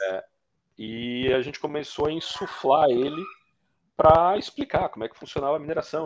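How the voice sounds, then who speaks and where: A man's fairly high voice at a moderate pace, with big swings in loudness, ordinary pitch variation, and long, frequent pauses. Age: 30s. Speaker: bitcoin miner. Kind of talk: casual interview.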